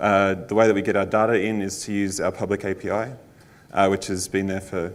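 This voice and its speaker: With an Australian accent, a man talks at a fairly quick pace. His voice is fairly low, in a monotone, flat intonation. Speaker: conference speaker, front-end engineer. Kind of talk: conference talk. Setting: stage with audience. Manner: frequent fillers (um, uh).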